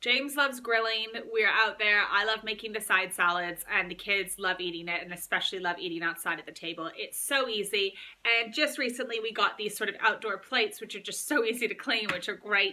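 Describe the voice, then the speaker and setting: A woman talks at a fairly quick pace with hardly any pauses, her fairly high voice bright and sharp. Her tone is upbeat, with ordinary pitch variation. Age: 30s. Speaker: mum vlogger. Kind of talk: casual talk to camera. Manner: chatty, upbeat.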